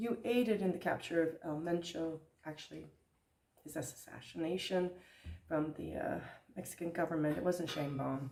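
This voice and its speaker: The speaker has a dark, mellow tone with vocal fry, ordinary pitch variation, a moderate pace and long, frequent pauses. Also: woman, fairly low pitch for a woman. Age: 60s. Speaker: vlogger and theater director. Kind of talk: casual vlog.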